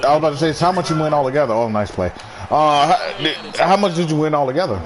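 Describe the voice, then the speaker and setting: Very fast and animated, the voice keeps a very even loudness and lively intonation, with audible room echo and noticeable background noise. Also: man, fairly high pitch for a man. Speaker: gaming streamer. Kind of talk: casual chat.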